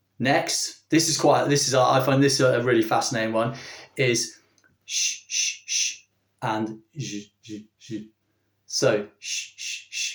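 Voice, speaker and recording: A man with a medium-pitched, somewhat breathy voice talks at a fairly slow pace, his loudness swinging widely. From southeast England. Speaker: language teacher. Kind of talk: tutorial. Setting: video recording for online channel. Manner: hesitant, many fillers.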